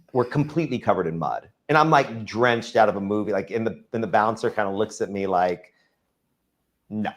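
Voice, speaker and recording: A man speaks at a fairly quick pace with a Texan accent and ordinary pitch variation. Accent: Texan American English. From Texas, Dallas. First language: Farsi. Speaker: real estate developer. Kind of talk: interview. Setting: live-streamed show. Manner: casual storytelling with fillers.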